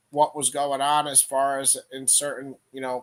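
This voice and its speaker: Monotone, flat intonation marks this man's delivery. He speaks at a moderate pace with an American accent. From upstate New York, near Albany. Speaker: livestream Bible teacher. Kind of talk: live-stream Q&A with chat. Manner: halting, many fillers.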